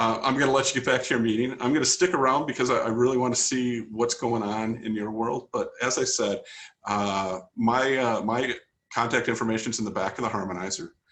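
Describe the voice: The voice has a fairly bright tone and fairly even intonation at a fairly quick pace. Audible room echo surrounds it. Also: man, medium pitch for a man.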